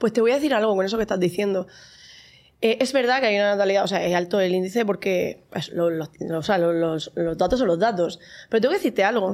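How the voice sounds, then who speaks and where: Recorded very cleanly against a silent background, a woman uses an ordinary speaking voice at a medium pitch, with ordinary pitch variation and a fairly quick pace. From Spain, Murcia. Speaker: mom influencer. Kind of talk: casual chat.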